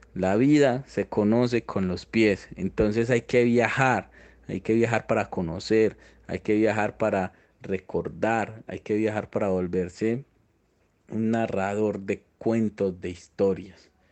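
A man's fairly low voice with an Antioquian accent, very slow in pace and fairly even in intonation, over a quiet background. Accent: Colombian paisa Spanish. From Antioquia, Colombia. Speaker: motorcycle traveler. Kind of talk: interview.

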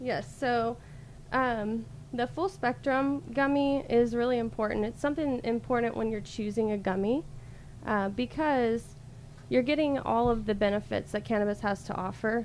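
This is an ordinary speaking voice with an American accent. The pace is moderate and the pitch variation ordinary. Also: woman, fairly high pitch for a woman. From US South, Alabama coast. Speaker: cannabis product sales rep. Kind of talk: casual interview.

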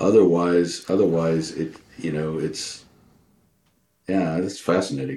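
A man with an American accent speaks at a fairly slow pace with long, frequent pauses, his very deep, low voice dark and mellow in tone and showing ordinary pitch variation. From Southeast Texas. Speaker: pipe smoker, co-host. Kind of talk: casual chat.

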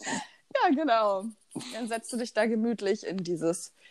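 A woman's voice, fairly high in pitch, moves at a very slow pace. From eastern Germany, Rheinsberg, Brandenburg. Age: 20s. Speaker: student podcast co-host. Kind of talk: casual chat. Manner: animated.

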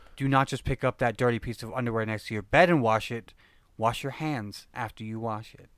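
A man with a normal speaking voice and medium pitch talks at a fairly quick pace with fairly even intonation but big swings in loudness, recorded very cleanly against a silent background. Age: 20s. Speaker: podcast co-host. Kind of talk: casual chat.

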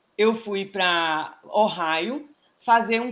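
Lively intonation marks a woman's medium-pitched voice. She speaks at a very slow pace. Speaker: pelvic physiotherapist and professor. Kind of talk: casual interview.

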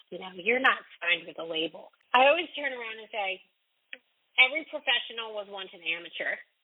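Her pitch swinging very widely, a woman with an American accent speaks at a moderate pace. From Raleigh, North Carolina. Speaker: radio host and singer-songwriter. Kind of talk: interview, casual chat.

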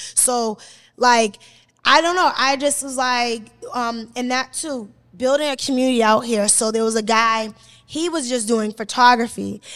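A loud woman with an American accent, high pitch and ordinary pitch variation, on a very clean recording with a silent background. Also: moderate pace. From Boston. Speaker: media personality and influencer. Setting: studio with live audience. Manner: loud, confident.

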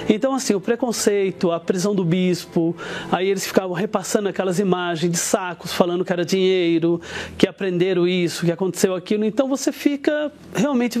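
A man speaks with a high pitch at a fairly quick pace. Noticeable background noise can be heard. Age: 40s. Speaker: business executive giving testimony. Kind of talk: testimony.

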